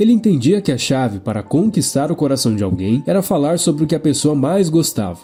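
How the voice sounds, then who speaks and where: a man with a fairly high pitch, very wide pitch swings and a fairly quick pace, hardly pausing, over music in the background. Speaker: book summary narrator. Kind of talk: book summary narration.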